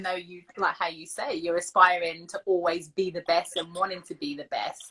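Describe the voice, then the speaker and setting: A woman with an English accent and lively intonation, over noticeable background noise. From England. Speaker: footballer and host. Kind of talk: casual interview. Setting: live video stream. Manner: fast.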